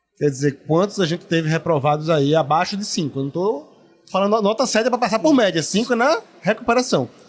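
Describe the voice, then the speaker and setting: A man talks at a fairly quick pace. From Pernambuco, Brazil. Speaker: dental council representative. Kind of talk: podcast interview. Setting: at a dental congress event.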